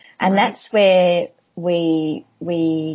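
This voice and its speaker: A woman speaks with an Australian accent. Her pitch is fairly low and her intonation is monotone and flat. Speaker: language event organizer. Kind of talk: casual interview chat. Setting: video call.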